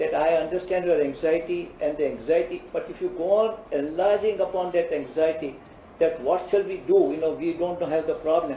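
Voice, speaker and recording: Noticeable background noise sits behind a man's voice. He talks at a moderate pace with a high pitch and fairly even intonation. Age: 80s+. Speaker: cardiologist. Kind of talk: interview answer.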